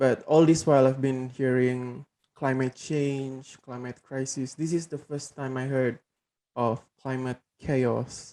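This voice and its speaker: Soft-spoken, a man talks at a very slow pace with a dark, mellow tone and monotone, flat intonation. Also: medium pitch for a man. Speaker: program participant. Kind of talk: casual discussion. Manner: hesitant.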